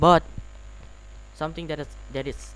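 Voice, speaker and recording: At a moderate pace, a man speaks with a non-native accent. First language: not English. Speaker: gaming streamer. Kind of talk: live game stream chat. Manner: halting, repeats words.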